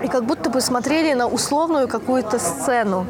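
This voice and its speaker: This woman's high voice has lively intonation and a moderate pace, with noticeable background noise behind it. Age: 20s. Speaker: podcast host. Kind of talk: casual chat. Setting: cafe.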